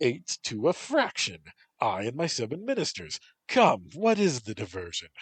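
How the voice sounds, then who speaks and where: Loud and in a put-on character voice, a man speaks at a moderate pace with a fairly high pitch and very wide pitch swings, the sound dry and close with no echo. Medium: read story. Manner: loud, blustering.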